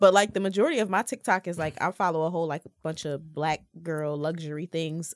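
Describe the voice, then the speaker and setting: Speaking in a normal speaking voice at a fairly quick pace, a woman with a fairly low pitch shows ordinary pitch variation in a very clean recording with a silent background. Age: 20s. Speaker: podcast panelist. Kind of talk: casual chat.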